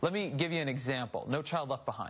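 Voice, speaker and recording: Somewhat breathy and fairly high-pitched, a man speaks. His pace is very fast. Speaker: cable news host. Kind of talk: news talk segment. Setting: studio. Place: studio.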